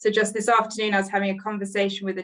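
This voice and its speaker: A woman's voice at medium pitch. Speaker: NHS leader presenting at a webinar. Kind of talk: webinar presentation. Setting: online webinar. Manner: fast.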